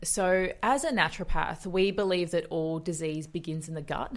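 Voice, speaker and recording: This woman has an Australian accent. She speaks at a moderate pace with ordinary pitch variation. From Australia, western suburbs of Melbourne. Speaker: naturopath and nutritionist. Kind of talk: interview conversation.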